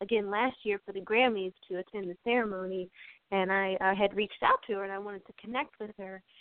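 A woman with a plain, everyday voice speaks in an American accent at medium pitch, keeping a moderate pace and fairly even intonation. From US, Maryland (Harford County). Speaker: pianist and composer. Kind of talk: interview.

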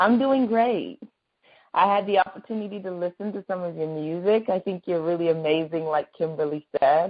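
A woman talks at a moderate pace in a plain, everyday voice. Her pitch is medium, with ordinary variation. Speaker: entertainment news interviewer. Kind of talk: phone interview. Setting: phone call.

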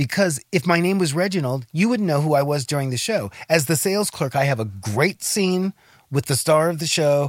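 A man with an American accent, fairly high-pitched, at a fairly quick pace with very wide pitch swings, on a very clean recording with a silent background. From Los Angeles. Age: 60s. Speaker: actor. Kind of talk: casual chat.

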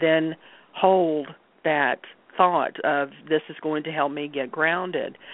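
Delivered at a fairly slow pace, the speech has fairly even intonation. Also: woman. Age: 60s. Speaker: Reiki practitioner and card reader. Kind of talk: interview conversation.

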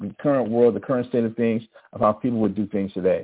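A man at medium pitch with a slightly husky edge, ordinary pitch variation and a Southern US accent

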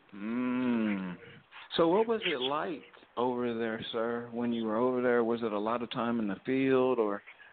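Using fairly even intonation, a man at a medium pitch speaks at a fairly slow pace. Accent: Southern US. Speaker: podcast co-host. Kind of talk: casual chat.

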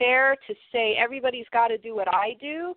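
The speaker is a woman. She talks with an American accent. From US. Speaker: health coach. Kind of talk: interview.

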